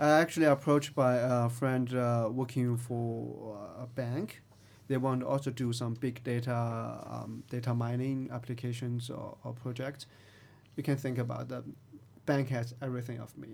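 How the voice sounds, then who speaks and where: In a Chinese accent, a man talks at a moderate pace with medium pitch. His intonation stays flat and monotone. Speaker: tech company CTO. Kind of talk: interview.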